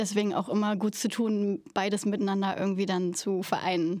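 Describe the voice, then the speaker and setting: A woman speaks at a moderate pace and medium pitch in a very clean recording, silent background. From Berlin, Germany. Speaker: stage actress. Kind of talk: casual interview. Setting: theatre venue.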